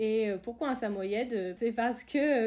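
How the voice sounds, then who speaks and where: A woman's fairly high voice at a fairly slow pace with ordinary pitch variation. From France, Tours (Loire valley). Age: 20s. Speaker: ski resort worker and outdoor sports enthusiast. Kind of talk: podcast interview. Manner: hesitant, many fillers.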